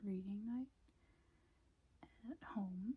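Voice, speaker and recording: Soft-spoken and relaxed in tone, a woman talks at medium pitch in a somewhat breathy voice with a dark, mellow tone and ordinary pitch variation. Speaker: ASMR creator. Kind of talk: casual talk to camera, ASMR intro. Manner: soft-spoken, relaxed.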